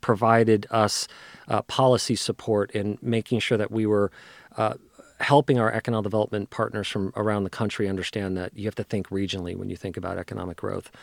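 A man with an American accent speaks at a fairly quick pace in a fairly low voice, an ordinary speaking voice. The sound is dry and close with no echo, and the recording is very clean against a silent background. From New Jersey. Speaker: economic development executive. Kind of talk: interview. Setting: studio.

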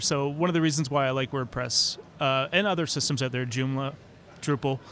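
Speaking fairly quickly, a man uses a fairly high pitch for his voice. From Canada. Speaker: e-learning consultant. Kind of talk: podcast interview.

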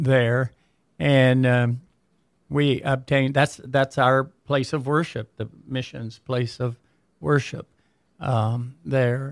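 Speaking very slowly with an American accent, a man uses medium pitch and fairly even intonation, leaving long, frequent pauses, and the sound is dry and close with no echo. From Michigan. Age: 70s. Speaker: pastor. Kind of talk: casual interview chat.

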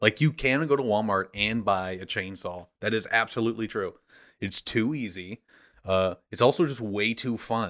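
A man with an American accent speaks in an ordinary speaking voice at a medium pitch and a moderate pace, with ordinary pitch variation. The recording is very clean, with a silent background. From small-town US. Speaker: comedian and theater actor. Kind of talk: casual chat.

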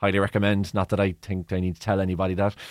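In a very clean recording with a silent background and a dry, close sound with no echo, a man with a Cork accent speaks at a fairly low pitch. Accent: Cork Irish. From Ireland, Cork. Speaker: sports broadcaster. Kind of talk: interview. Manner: halting.

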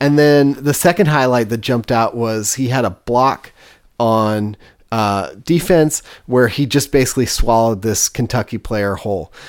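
A man with a normal speaking voice talks at a moderate pace and medium pitch, with ordinary pitch variation. The recording is very clean, with a silent background. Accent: American. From US West Coast (East Bay, California). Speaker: food podcast host. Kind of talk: casual chat.

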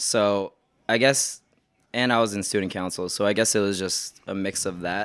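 A man with a fairly low pitch at a moderate pace, with fairly even intonation and an unremarkable speaking voice. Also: very clean recording, silent background. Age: 20s. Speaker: boba truck owner. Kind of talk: casual chat.

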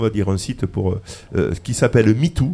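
This man's voice has a dark, mellow tone. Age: 60s. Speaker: radio host in a retirement home. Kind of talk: casual radio discussion.

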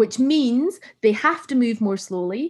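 A woman's somewhat breathy voice moves at a moderate pace with lively intonation, recorded very cleanly against a silent background. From northern England, Carlisle area. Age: 30s. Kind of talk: casual chat.

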